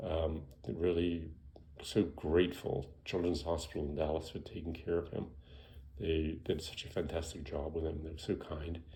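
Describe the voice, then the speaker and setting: A man speaks in a very deep, low pitch with a dark, mellow, somewhat breathy tone and monotone, flat intonation. His moderate pace carries audible room echo. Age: 60s. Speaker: physician. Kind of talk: casual health talk. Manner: conversational, with many fillers.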